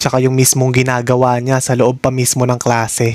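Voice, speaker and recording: This man has a normal speaking voice at medium pitch. He speaks at a fairly slow pace. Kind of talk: reaction video commentary.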